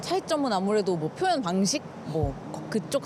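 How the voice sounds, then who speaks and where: A woman at a moderate pace and medium pitch, with very wide pitch swings and noticeable background noise. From South Korea. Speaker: content creator. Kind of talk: street interview answer.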